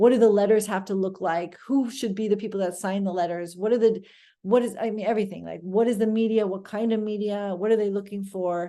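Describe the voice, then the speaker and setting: A woman speaks at a fairly quick pace, with a medium pitch and a dark, mellow tone. Her intonation is fairly even, and the background is quiet. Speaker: immigration attorney. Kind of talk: webinar presentation. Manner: fast.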